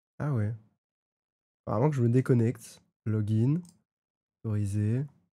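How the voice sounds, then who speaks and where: Speaking at a fairly slow pace, this man has a medium-pitched voice with a dark, mellow tone, recorded very cleanly against a silent background. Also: ordinary pitch variation. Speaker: streamer. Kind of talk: live gaming stream chat. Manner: animated.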